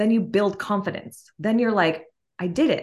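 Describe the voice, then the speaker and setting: In an American accent, a normal speaking voice moves at a moderate pace with ordinary pitch variation. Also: woman. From Massachusetts, Martha's Vineyard. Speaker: fitness instructor and author. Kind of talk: casual interview chat.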